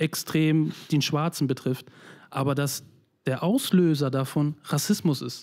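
Fairly high-pitched male voice on a very clean recording with a silent background. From former East Germany (Mecklenburg-Vorpommern). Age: 30s. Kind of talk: personal testimony in a conversation.

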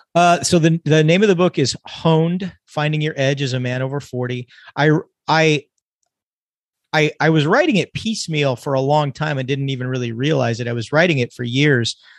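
An American man speaks at a moderate pace in a normal speaking voice, his pitch fairly high. His pitch varies in an ordinary way. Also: dry, close sound with no echo. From California. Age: 50s. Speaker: emergency physician and author. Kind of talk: casual chat.

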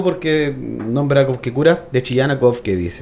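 Speaking fairly slowly, a man uses a normal speaking voice with ordinary pitch variation. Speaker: podcast host. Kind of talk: casual chat.

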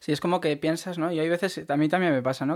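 A man with a fairly high pitch talks at a very fast pace on a very clean recording with a silent background. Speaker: podcast host, stationery blogger. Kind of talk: casual interview chat. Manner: hesitant, filler-heavy.

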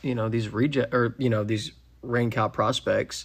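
A man with a Texan accent talks at medium pitch and a fairly quick pace. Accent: Texan American. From Texas, Frisco. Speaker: horse trainer. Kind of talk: casual chat. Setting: home barndominium.

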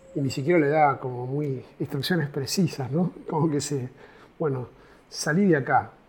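This man has a fairly high pitch and fairly even intonation, speaking at a moderate pace. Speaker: pastoral worker, co-host. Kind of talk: casual chat. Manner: halting.

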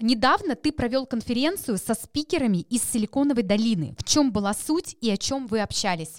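With lively intonation and very even loudness, the speech moves at a moderate pace with hardly any pauses in a dry, close sound with no echo. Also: woman, fairly high pitch for a woman. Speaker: podcast host. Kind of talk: interview.

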